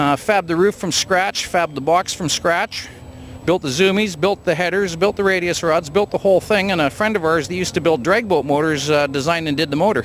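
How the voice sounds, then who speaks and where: A man with a Canadian accent talks at a fairly quick pace in a high voice. Noticeable background noise runs behind him. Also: ordinary pitch variation. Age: 60s. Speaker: hot rod builder. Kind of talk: casual interview at car show.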